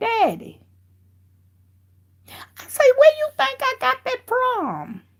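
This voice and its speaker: A woman's squeaky, put-on character voice at an extremely high pitch, very slow, with long, frequent pauses. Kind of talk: respectful. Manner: quiet, calm, still.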